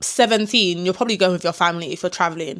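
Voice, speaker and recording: A woman with a London accent and ordinary pitch variation, in a very clean recording with a silent background. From London, England. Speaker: travel vlogger. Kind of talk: casual talk to camera. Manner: animated.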